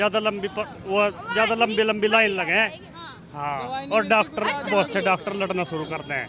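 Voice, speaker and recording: A man uses a raised, projected voice at a high pitch with lively intonation. Crowd noise fills the background. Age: 60s. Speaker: local resident interviewed on street. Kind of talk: street vox pop interview.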